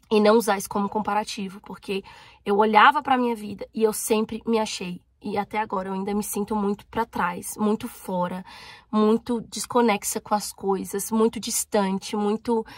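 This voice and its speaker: A woman talks at a moderate pace with a fairly high pitch. Her intonation is monotone and flat, the sound dry and close with no echo. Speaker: YouTuber. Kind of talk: personal vlog.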